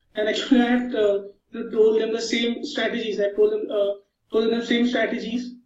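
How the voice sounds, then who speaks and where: A man speaks at a moderate pace in an extremely high pitch, with audible room echo. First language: not English. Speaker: online marketer. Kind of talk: interview. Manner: halting.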